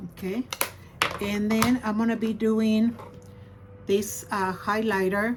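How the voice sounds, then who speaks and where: A woman speaks at a very slow pace with long, frequent pauses, her fairly high voice held in a monotone, flat intonation over noticeable background noise. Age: 60s. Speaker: beauty vlogger. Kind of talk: tutorial. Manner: casual.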